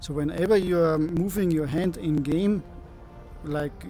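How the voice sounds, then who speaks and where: Music plays in the background. A man with a fairly high pitch speaks at a fairly slow pace. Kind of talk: casual screen-recorded tutorial talk. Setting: headset microphone, crackling.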